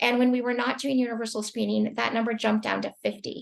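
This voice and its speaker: The speech comes at a very fast pace against a quiet background. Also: woman. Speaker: healthcare quality professional. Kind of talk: webinar presentation.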